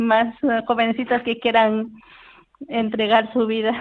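Fairly high female speech in monotone, flat intonation, at a moderate pace. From Peru. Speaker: cloistered nun. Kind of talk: interview testimony. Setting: phone call.

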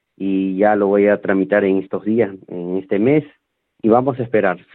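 The man speaks at a moderate pace with fairly low pitch and fairly even intonation. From Peru. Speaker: football coach. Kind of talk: interview. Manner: halting.

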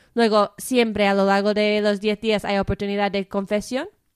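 A woman with an English-speaking accent, dry and close with no echo, in a very clean recording with a silent background. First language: English (speaking Spanish). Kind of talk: radio interview. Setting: studio.

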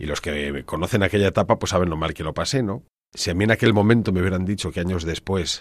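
A man speaks with a very deep, low pitch at a fairly quick pace. The recording is very clean, with a silent background. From Spain, Ávila province (Castile). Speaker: priest and church organist. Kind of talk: radio interview. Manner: hesitant, with fillers and repeated words.

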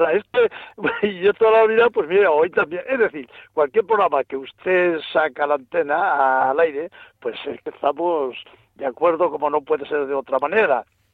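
With lively intonation and a fairly high pitch, a man talks at a moderate pace in a normal speaking voice. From Ciudad Real, Spain. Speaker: radio caller. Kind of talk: phone-in call. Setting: phone call.

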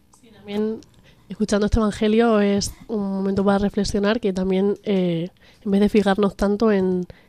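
A woman speaks in a flat, monotone way at a medium pitch, her tone dark and mellow. The background is quiet. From Extremadura, Spain (Cáceres). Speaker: university student. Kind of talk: casual chat. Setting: radio studio.

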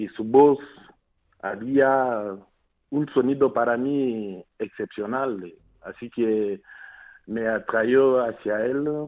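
Ordinary pitch variation in a man's very slow delivery. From Democratic Republic of the Congo, Mbuji-Mayi. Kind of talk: radio interview. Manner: halting, repeats words.

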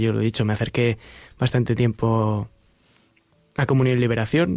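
This man talks at a fairly quick pace in a monotone, flat intonation. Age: 20s. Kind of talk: interview.

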